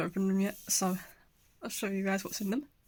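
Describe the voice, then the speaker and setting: A woman speaks with a British accent at a moderate pace. Her medium-pitched voice is somewhat breathy. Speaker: video creator. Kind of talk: casual unboxing vlog.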